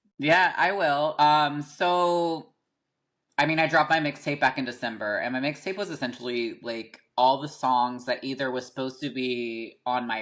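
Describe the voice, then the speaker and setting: A man at medium pitch with an American accent, fairly quick pace and lively intonation, over a quiet background. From US South, small-town North Carolina. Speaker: rapper. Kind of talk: casual podcast interview.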